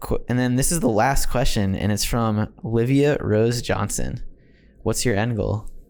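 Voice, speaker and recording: A man's medium-pitched voice at a fairly slow pace, very even in loudness, with ordinary pitch variation and audible room echo. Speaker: podcast host. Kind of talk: casual interview. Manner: stuttering at times.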